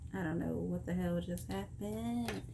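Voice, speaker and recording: Someone speaks with an American accent. Noticeable background noise and audible room echo fill the recording. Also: woman. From Texas. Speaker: vlogger. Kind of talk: casual chat.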